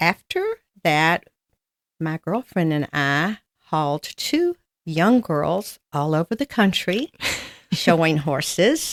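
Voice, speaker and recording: A woman with a Southern US accent speaks very slowly at a fairly low pitch. The sound is dry and close with no echo, on a very clean recording with a silent background. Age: 80s+. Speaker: amputee patient. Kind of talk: interview.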